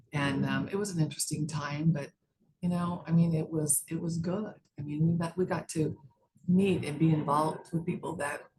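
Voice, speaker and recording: A woman with an American accent speaks in a fairly low, somewhat breathy voice with a dark, mellow tone. Her intonation is monotone and flat, and her pace is moderate. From US West, Las Vegas, Nevada. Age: 60s. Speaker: judge running for re-election. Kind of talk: interview.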